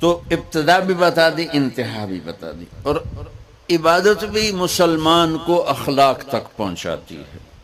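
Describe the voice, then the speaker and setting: Over noticeable background noise, a man with a fairly high pitch speaks with lively intonation and big swings in loudness. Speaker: Islamic scholar, preacher. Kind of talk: religious sermon (bayan) to an audience.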